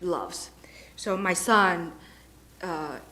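In a non-native accent, a woman talks at a fairly low pitch. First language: not English. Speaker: parent giving public comment. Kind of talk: public comment speech. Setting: school board meeting. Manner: halting.

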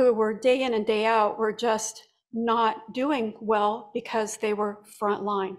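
At a fairly slow pace, a woman with an unremarkable speaking voice talks in a fairly high pitch with fairly even intonation against a quiet background. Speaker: clinical research administrator; presenter. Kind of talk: conference presentation. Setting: conference room with live audience. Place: hall. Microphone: podium.

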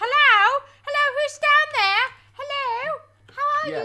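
In a put-on character voice, someone speaks fairly slowly at an extremely high, squeaky pitch. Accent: English.

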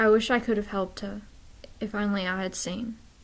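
Fairly high and somewhat breathy, a woman's voice moves at a fairly quick pace. Her intonation stays monotone and flat. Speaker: poetry vlogger. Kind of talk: poem performed, reading aloud a rhymed poem. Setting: home video recording, filming alone. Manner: casual and chatty in the intro, then earnest and measured in the poem; playful, laughing. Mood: sombre, sad. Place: home room. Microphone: webcam.

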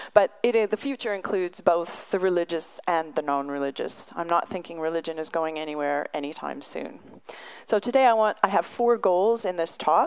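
A woman with an ordinary speaking voice, fairly low pitch and a moderate pace. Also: quiet background. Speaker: visiting professor giving a lecture. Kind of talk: lecture. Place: hall. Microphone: podium.

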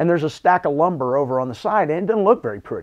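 Against a quiet background, a man is speaking. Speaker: head basketball coach. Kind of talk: interview answer. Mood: calm, reflective, optimistic. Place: office. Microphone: lapel.

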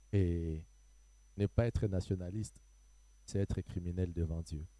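In a very deep, low pitch and a dark, mellow tone, a man speaks very slowly with fairly even intonation and a dry sound with no echo. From DR Congo. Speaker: pastor. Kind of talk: panel discussion. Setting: studio. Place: stage. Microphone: handheld.

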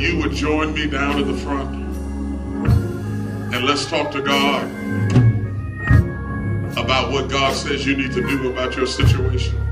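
A man at a moderate pace over loud background music. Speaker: preacher. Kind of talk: sermon altar call. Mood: earnest, pleading. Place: church.

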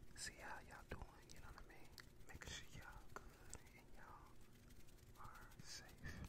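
Moderately paced speech from a man. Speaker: ASMR creator. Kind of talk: ASMR ramble. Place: home room. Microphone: studio mic.

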